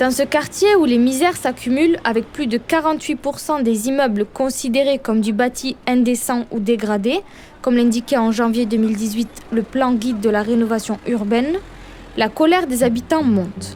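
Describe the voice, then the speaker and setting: A high-pitched woman with a southern French accent over noticeable background noise. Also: ordinary pitch variation, moderate pace, very even loudness. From southern France, Perpignan. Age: 20s. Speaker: journalist. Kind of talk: scripted narration.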